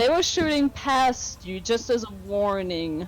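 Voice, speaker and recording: Moderate-paced speech over background music. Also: woman. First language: not English. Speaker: game master. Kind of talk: tabletop role-play narration. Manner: animated.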